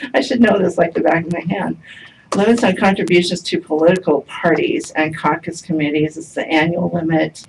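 A woman's fairly low-pitched voice, an unremarkable speaking voice with ordinary pitch variation, over light background noise. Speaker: public presenter. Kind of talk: formal briefing to commission. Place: meeting room. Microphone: camera far.

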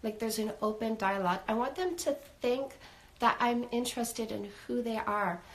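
Her pitch varies in an ordinary way as a woman speaks at a moderate pace. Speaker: dating coach. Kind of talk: live stream advice talk. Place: home room.

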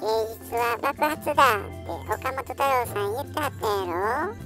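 Over clear music in the background, a female-sounding voice does a put-on character voice at a fairly high pitch and a moderate pace. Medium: dub.

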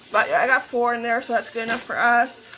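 Light background noise sits behind a woman. She speaks in a raised, projected voice. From Canada. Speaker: vlogger. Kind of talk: casual vlog narration. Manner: chatty, frequent laughter; halting with fillers. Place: kitchen. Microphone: phone near.

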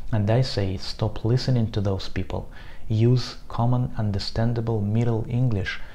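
A man speaks with a Russian accent at a moderate pace, his pitch fairly low and his voice somewhat breathy. The tone is dark and mellow, and the intonation stays monotone and flat. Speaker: Arabist. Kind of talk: casual talk to camera.

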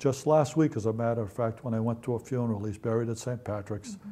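A man with a Boston accent speaks at a very fast pace in a dark, mellow tone. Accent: Boston-area New England. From East Natick, Massachusetts. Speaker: Marine Corps veteran. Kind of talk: oral history interview answer. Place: home room. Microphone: lapel.

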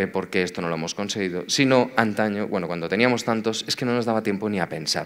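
A man's normal speaking voice, medium in pitch, fairly quick, with lively intonation. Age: 40s. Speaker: tech executive, conference speaker. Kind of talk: conference talk.

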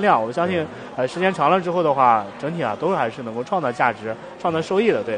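Background noise is noticeable here. Over it, a man talks very fast. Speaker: guest. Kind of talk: interview answer. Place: stage.

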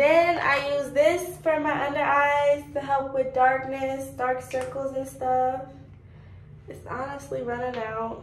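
With audible room echo and light background noise, a woman speaks at a very slow pace in a monotone, flat intonation at high pitch. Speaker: vlogger. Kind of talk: casual vlog chat. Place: bathroom. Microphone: phone near.

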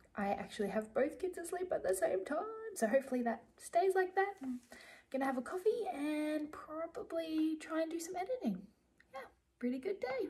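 The tone is dark and mellow, with very wide pitch swings. The pace is fairly quick. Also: woman, extremely high pitch for a woman. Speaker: vlogger. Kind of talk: casual vlog chat. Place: home room. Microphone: phone near.

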